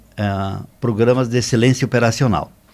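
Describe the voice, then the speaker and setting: An ordinary speaking voice from a man, medium in pitch, at a moderate pace with fairly even intonation, on a very clean recording with a silent background. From southern Brazil, Rio Grande do Sul. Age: 60s. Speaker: business consultant. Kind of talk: podcast interview.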